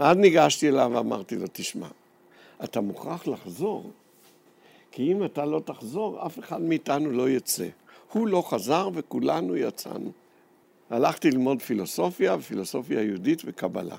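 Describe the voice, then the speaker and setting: A man, fairly high in pitch, with very wide pitch swings, vocal fry, a fairly slow pace and long, frequent pauses, on a very clean recording with a silent background. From Jerusalem, Israel. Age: old. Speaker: historian and educator. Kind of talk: personal testimony talk to students.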